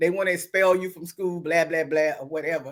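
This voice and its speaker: A woman speaks with a Southern US accent in an animated tone. The recording is very clean with a silent background. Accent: Southern US accent, kept. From US South. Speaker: online talk show host. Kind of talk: casual chat.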